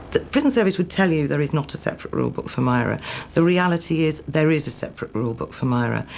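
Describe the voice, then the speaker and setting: Speaking at a very fast pace with a Manchester accent, a woman comes through over noticeable background noise. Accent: Manchester, stronger than the other's. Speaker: former prison governor. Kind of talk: interview.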